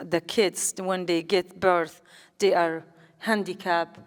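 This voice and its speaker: A woman with a Kurdish accent talks in a monotone, flat intonation. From Kurdistan, Iran. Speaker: politician and activist. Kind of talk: public talk. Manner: halting.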